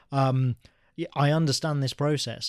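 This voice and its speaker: A man with an English Midlands accent speaks at a fairly high pitch and a moderate pace. The recording is very clean, with a silent background. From English Midlands (Birmingham area). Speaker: graphic novelist and writer. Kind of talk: interview.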